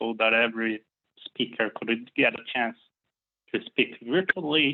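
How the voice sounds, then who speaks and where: The speaker talks at a fairly slow pace with a Brazilian accent. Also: man. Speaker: software developer. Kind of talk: conference talk. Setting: online talk.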